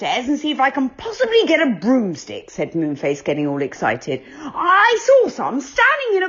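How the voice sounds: Natural reading voice throughout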